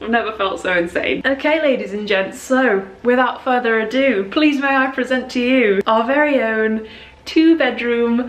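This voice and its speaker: A female speaker with ordinary pitch variation, moving at a moderate pace. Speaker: vlogger. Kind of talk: casual vlog chat. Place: home room. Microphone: phone near.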